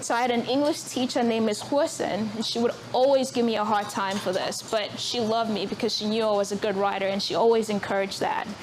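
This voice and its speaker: Over noticeable background noise, a woman rushes along at a very fast pace with hardly any pauses, her fairly high pitch showing ordinary variation. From South Africa. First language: Zulu. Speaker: author. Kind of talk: public talk at book event. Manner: hesitant, many fillers.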